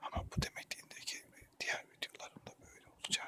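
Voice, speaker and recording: The voice is a man whispering. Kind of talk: ASMR intro talk. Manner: whispered.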